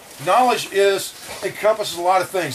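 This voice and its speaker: A man speaks at a high pitch with ordinary pitch variation. Noticeable background noise can be heard. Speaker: survival instructor. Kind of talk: lecture. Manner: fast.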